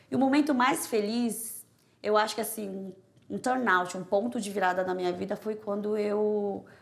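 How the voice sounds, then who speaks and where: With fairly even intonation, a woman keeps a moderate speed. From Brazil, Korean immigrant family. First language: Korean (speaking Portuguese). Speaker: prosecutor. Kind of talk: interview testimony.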